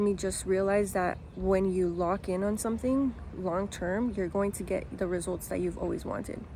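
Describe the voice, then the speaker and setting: In a Spanish accent, a woman speaks at a moderate pace with medium pitch, fairly even intonation and a dark, mellow tone. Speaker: lifestyle vlogger. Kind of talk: motivational talk to camera. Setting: outdoors in a park.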